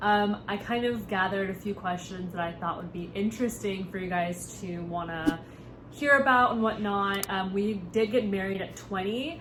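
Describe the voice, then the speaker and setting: A woman with an American accent, medium pitch, ordinary pitch variation and a moderate pace, over noticeable background noise. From United States. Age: 20s. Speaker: content creator. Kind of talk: casual talk to camera.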